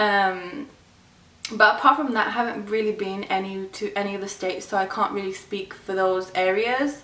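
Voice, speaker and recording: Delivered at a moderate pace with a fairly even intonation and an English accent, this clip carries noticeable background noise. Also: woman, medium pitch for a woman. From England, Birmingham. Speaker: YouTuber. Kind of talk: casual vlog talk. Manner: casual, filler-heavy.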